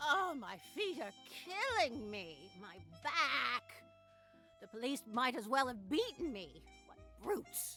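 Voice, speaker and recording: A female-sounding put-on character voice, high in pitch with very wide pitch swings, at a fairly slow pace with long, frequent pauses and clear music in the background. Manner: complaining, weary.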